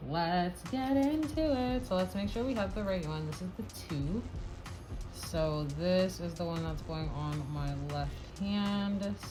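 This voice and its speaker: Music plays in the background as a woman speaks at a fairly slow pace with audible room echo. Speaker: nail art vlogger. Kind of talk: tutorial. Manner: casual.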